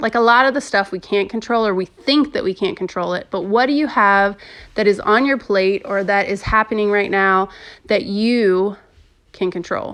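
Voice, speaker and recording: An unremarkable speaking voice with ordinary pitch variation against a quiet background. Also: woman, medium pitch for a woman, moderate pace. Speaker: podcast host. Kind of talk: casual monologue podcast.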